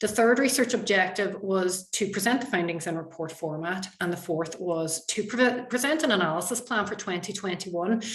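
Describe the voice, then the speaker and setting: A woman with a Donegal accent, medium pitch and ordinary pitch variation, hardly any pauses, audible room echo and noticeable background noise. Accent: Donegal Irish. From Ireland, County Donegal. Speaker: university researcher. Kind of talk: conference presentation. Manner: fast.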